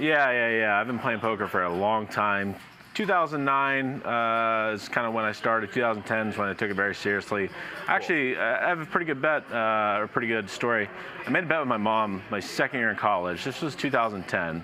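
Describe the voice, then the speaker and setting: Against noticeable background noise, a man with an American accent talks at a fairly quick pace, fairly low in pitch and with lively intonation. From Ohio, US Midwest. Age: 30s. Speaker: professional poker player. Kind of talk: casual chat.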